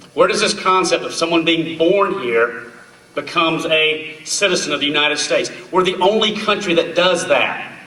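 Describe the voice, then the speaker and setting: Loud and high-pitched, a man speaks at a moderate pace with ordinary pitch variation, amid audible room echo and noticeable background noise. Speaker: speaker on constitutional history. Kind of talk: public talk. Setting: stage with audience.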